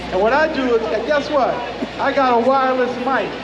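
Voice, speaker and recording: A man's extremely high-pitched voice at a moderate pace, with audible room echo and noticeable background noise. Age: 80s+. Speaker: event emcee. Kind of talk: live event announcing. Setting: outdoor event with crowd, on wireless mic. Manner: animated.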